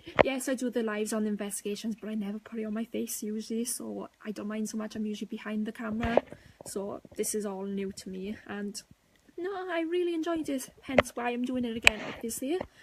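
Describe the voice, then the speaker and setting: Against noticeable background noise, a woman with a fairly high pitch talks at a fairly quick pace with ordinary pitch variation. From Wales. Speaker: paranormal investigator, team co-founder. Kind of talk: live stream chat. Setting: live video stream. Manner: casual, hesitant with fillers.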